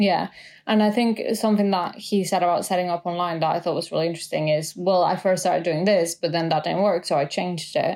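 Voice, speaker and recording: In a very clean recording with a silent background, a woman talks at a very fast pace. Her fairly low pitch holds fairly even intonation at a very even loudness. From Mexico City. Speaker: podcast co-host. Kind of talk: casual chat.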